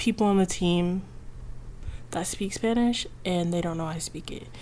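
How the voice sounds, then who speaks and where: This woman's voice sits at medium pitch. Its tone is dark and mellow. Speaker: video blogger. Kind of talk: casual monologue. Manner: many fillers like um and like.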